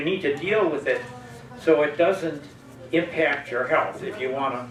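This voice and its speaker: Over noticeable background noise and audible room echo, a man talks at a moderate pace with lively intonation. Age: 80s+. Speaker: audience member at public discussion forum. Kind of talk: open forum comment. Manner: halting.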